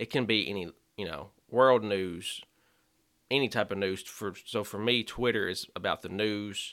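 Fairly low-pitched, with a bright, sharp tone, a man speaks with a Kentucky accent and fairly even intonation in a very clean recording over a silent background. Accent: Kentucky Southern American. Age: 20s. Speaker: youth minister. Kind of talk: casual chat.

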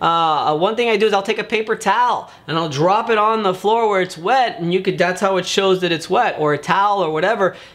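The animated delivery moves at a fairly quick pace with hardly any pauses, very even loudness and ordinary pitch variation. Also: man, high pitch for a man. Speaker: public adjuster and video show host. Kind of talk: solo video tutorial. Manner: fast.

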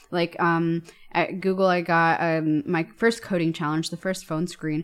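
In an unremarkable speaking voice, a woman with a fairly low pitch talks at a fairly quick pace with ordinary pitch variation. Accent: American. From US, New York. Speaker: software engineer and author. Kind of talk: casual podcast interview. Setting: remote recording from home.

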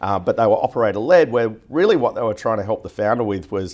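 In a very clean recording with a silent background, a man with an Australian accent speaks at a very fast pace with a fairly low pitch. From Australia, Newcastle. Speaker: venture capital investor. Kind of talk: interview. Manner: hesitant, many fillers.

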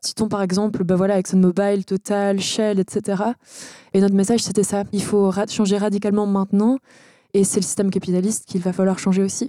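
This woman has a medium pitch, a dark, mellow tone and a monotone, flat intonation. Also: fairly quick pace. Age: 20s. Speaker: student activist. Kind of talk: interview.

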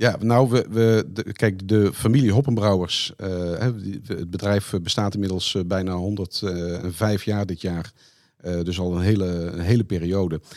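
In a Brabant accent, a man speaks at a fairly slow pace with a fairly low pitch and fairly even intonation. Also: very clean recording, silent background. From Netherlands, Brabant. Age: 50s. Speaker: company finance director. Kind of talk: interview.

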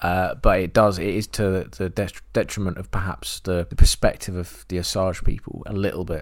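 In a very clean recording with a silent background, a man with an English accent speaks very deep and low, with hardly any pauses. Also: fairly even intonation, moderate pace. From England. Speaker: film podcast co-host. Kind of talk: casual chat.

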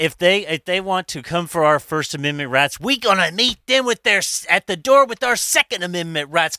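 A man shouts in a strained, put-on character voice, high in pitch with lively intonation. The pace is moderate, and the sound is dry and close with no echo. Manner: shouting, hoarse, fiery.

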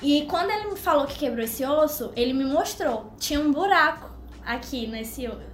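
A woman's high-pitched voice with lively intonation, against noticeable background noise. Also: moderate pace. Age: 20s. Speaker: law student and youth ministry leader. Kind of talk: testimony.

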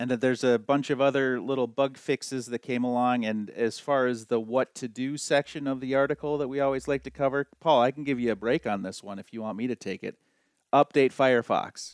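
A man with an ordinary speaking voice, medium pitch and fairly even intonation at a fairly quick pace, in a dry, close sound with no echo and a quiet background. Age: 40s. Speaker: podcast co-host. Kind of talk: casual chat.

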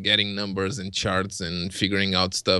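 Bright and sharp in tone, a man with fairly low pitch speaks in a Portuguese accent. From Portugal. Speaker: vape reviewer on video channel. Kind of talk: casual interview chat. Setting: video call.

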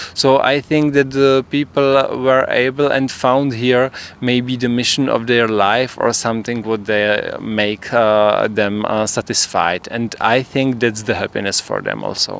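A man speaks with a medium pitch. His intonation stays fairly even. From Czech Republic. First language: Czech (speaking Dutch). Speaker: theatre performer. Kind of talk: interview. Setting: outdoors on a rooftop. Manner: halting.

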